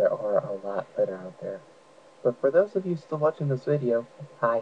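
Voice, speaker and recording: Quietly, a man talks at a moderate pace. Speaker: let's play gamer. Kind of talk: game commentary.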